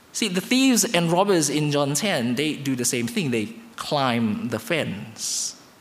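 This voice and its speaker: Over noticeable background noise, a man with a fairly high voice talks with hardly any pauses, his pitch swinging very widely. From Indonesia. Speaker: guest preacher. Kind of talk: sermon. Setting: church.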